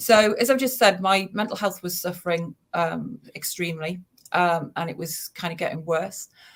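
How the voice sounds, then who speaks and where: A woman with a slight Geordie accent talks at a moderate pace in a fairly low, somewhat breathy voice with ordinary pitch variation. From northern England, Newcastle. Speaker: suicide prevention charity founder. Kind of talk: personal testimony.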